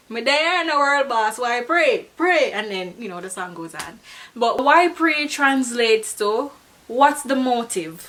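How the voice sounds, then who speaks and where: Noticeable background noise under lively intonation. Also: woman. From Jamaica. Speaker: beauty and lifestyle vlogger. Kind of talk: casual talk to camera.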